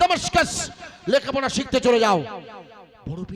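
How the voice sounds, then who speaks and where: A man talks in an animated tone, with noticeable background noise behind him. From India, West Bengal (Basirhat area). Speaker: Islamic preacher. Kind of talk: sermon. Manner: loud, animated exhortation.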